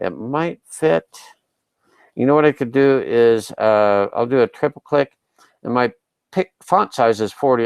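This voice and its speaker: The man's voice sits at a medium pitch, with lively intonation and a fairly slow pace. The sound is dry and close with no echo, against a quiet background. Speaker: online marketing tutor. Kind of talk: tutorial. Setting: live video broadcast.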